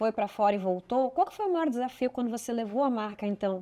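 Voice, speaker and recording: The woman has a normal speaking voice at a fairly high pitch. She moves at a fairly quick pace with ordinary pitch variation. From Brazil, São Paulo. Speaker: podcast host. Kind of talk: interview.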